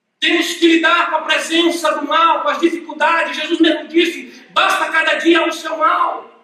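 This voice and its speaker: Someone speaks fairly slowly in a raised, projected voice, with audible room echo. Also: man. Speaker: pastor. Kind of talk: sermon.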